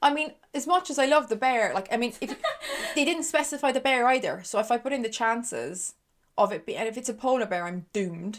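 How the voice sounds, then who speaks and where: The speaker talks at a fairly quick pace with lively intonation and an Irish accent. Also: woman, high pitch for a woman. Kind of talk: casual conversation.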